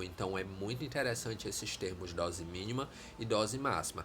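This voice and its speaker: There is audible room echo around this man's voice. He speaks at a moderate pace with a fairly low pitch. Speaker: teacher. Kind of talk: lecture. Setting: live stream.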